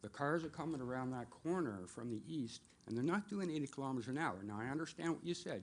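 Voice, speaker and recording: A man with a Canadian accent talks at a very fast pace with hardly any pauses, using lively intonation at a medium pitch. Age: 60s. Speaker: resident speaking at public meeting. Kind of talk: public comment at council meeting. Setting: council meeting room, at podium. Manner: halting.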